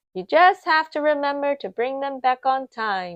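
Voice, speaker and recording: A loud put-on character voice at a moderate pace. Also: woman, high pitch for a woman. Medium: read story. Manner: brisk, loud.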